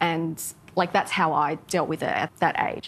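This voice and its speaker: Speaking in an Australian accent, a woman's voice sits fairly low in pitch. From southwest Sydney, Australia. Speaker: TV content executive; interviewee. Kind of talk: interview. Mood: reflective, personal. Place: cafe. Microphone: lapel.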